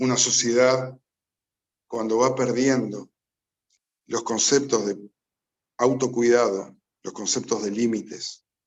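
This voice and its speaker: Here a man with a medium pitch talks at a very slow pace, in a monotone, flat intonation. He leaves long, frequent pauses. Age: 60s. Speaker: addiction specialist. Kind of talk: public talk.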